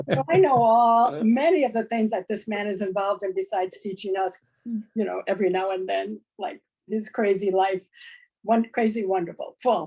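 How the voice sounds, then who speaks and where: At a moderate pace, a woman talks in a medium pitch with a dark, mellow tone and ordinary pitch variation. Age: 70s. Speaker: class participant. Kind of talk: class discussion.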